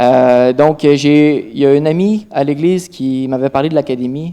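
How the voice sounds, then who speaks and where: This man has a fairly high pitch, a dark, mellow tone, and a Quebec accent. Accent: Québécois French. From Quebec, Trois-Rivières. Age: 20s. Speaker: church testimony speaker. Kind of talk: testimony. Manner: halting, many fillers.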